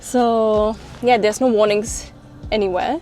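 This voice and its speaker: A woman with a German accent, fairly high in pitch, with fairly even intonation, a moderate pace, and noticeable background noise. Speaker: travel vlogger. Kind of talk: travel vlog. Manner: casual.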